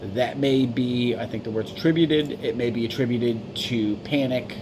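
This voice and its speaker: Amid noticeable background noise and audible room echo, a man speaks at medium pitch and a moderate pace. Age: 40s. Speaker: vlogger seeking medical help. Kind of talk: personal video appeal. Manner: stumbling, mumbling; halting.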